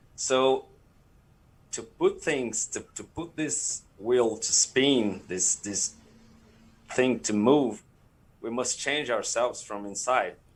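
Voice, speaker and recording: A man with a Portuguese accent talks at a very slow pace, leaving long, frequent pauses. His voice sits at a medium pitch with ordinary pitch variation. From Brazil. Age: 30s. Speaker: streaming community leader. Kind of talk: panel interview. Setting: live stream. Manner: halting.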